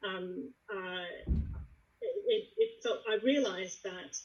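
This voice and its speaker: Here a woman is talking. Her speech carries an American accent. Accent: American with slight British twang. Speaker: lawyer. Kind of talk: panel discussion.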